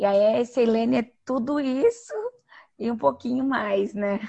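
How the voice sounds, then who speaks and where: Speaking at a fairly slow pace, the woman uses ordinary pitch variation. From Brazil, western Paraná (Toledo). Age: 30s. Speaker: psychologist and humanitarian worker. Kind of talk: interview. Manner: talkative.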